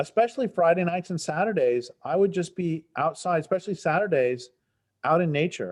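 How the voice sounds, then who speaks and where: Here a man speaks with a General American accent at a fairly quick pace. His voice sits high, with ordinary pitch variation. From Colorado, Front Range. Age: 60s. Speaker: environmental writer. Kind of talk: interview.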